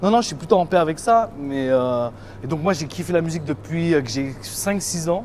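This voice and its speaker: A man talks at a fairly quick pace in a fairly high pitch with lively intonation. Noticeable background noise is present. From Île-de-France, France (Val-de-Marne). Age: 30s. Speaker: music producer and DJ. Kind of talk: casual interview. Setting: in a shop. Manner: casual, hesitant with fillers.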